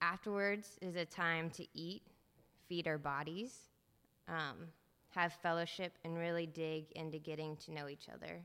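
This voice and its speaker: Bright and sharp in tone, the voice sounds nervous and keeps a moderate pace. The recording is very clean, with a silent background. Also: woman. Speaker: church lunch volunteer. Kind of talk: reading aloud. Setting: church.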